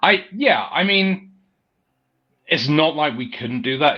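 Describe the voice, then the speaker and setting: A man with a fairly high pitch speaks at a moderate pace. His pitch swings very widely, with vocal fry. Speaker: musician. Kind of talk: casual interview.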